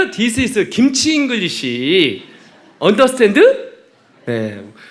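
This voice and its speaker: Audible room echo surrounds a man whose tone is bright, sharp and animated. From Chungcheong, South Korea. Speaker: missionary preacher. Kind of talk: sermon. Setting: church.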